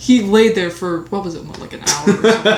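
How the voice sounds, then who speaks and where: A woman speaks at a very fast pace through audible room echo and noticeable background noise. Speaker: podcast co-host. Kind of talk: casual chat. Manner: stuttering.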